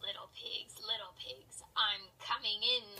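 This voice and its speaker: Growling in a put-on character voice, a woman speaks at a fairly slow pace. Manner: growling, menacing.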